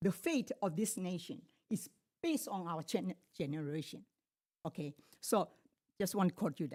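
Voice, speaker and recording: A woman with a non-native accent talks at a moderate pace with very wide pitch swings, the sound dry and close with no echo. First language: not English. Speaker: public commenter. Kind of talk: public comment speech. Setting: public board meeting. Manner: halting.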